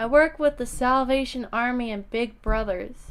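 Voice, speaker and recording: A woman's put-on character voice, high-pitched, at a moderate pace with ordinary pitch variation. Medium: read story. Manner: pleasant, polite.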